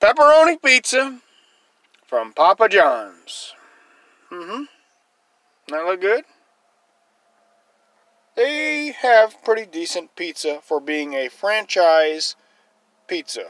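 Speech unfolds at a very slow pace against a quiet background. The sound is dry, with no echo. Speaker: van dweller vlogger. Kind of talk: casual vlog chat. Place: car.

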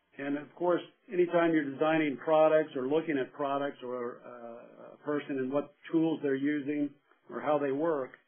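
A man speaks at a moderate pace in a plain, everyday voice. His pitch is fairly high, and his intonation stays fairly even. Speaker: human factors expert witness. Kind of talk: webinar lecture. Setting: webinar audio broadcast.

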